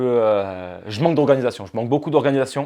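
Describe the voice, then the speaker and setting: A man with a normal speaking voice at a medium pitch and moderate pace, on a very clean recording with a silent background. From Marseille, southern France. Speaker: reality TV participant, firefighter and model. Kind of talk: casual chat.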